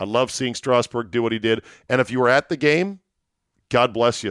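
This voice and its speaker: A man with an American accent talks fairly quickly in an ordinary speaking voice, medium in pitch with ordinary pitch variation, and the sound is dry and close with no echo in a very clean recording with a silent background. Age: 50s. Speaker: sports podcast host. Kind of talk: solo sports podcast with ad read. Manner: casual, rambling, conversational.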